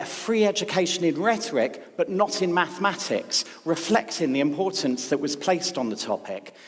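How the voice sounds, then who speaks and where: A man speaks over noticeable background noise. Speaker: speechwriter. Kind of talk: public talk. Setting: stage with audience.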